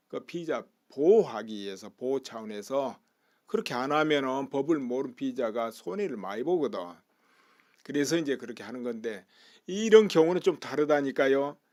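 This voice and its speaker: In a very clean recording with a silent background, a man with a plain, everyday voice talks at a moderate pace, his pitch fairly high and his intonation lively. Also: big swings in loudness. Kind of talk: political commentary talk. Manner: casual, conversational.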